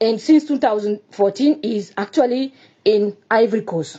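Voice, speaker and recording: Her pitch swinging over a very wide range, a woman speaks fairly slowly. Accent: Burkinabe. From Burkina Faso. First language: French. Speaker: Burkinabe citizen giving testimony. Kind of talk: personal testimony. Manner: halting, hesitant non-native speech.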